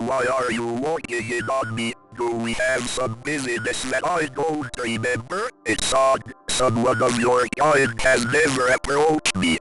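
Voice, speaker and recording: A put-on character voice at a moderate pace, with clear music playing behind it. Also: man, medium pitch for a man. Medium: solo performance. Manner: detached, skeptical.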